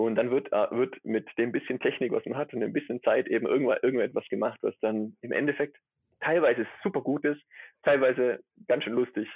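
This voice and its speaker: A man talks at a fairly quick pace with a slight Swabian accent. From Swabia, near Stuttgart. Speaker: atmospheric chemist. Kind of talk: casual interview. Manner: hesitant, many fillers.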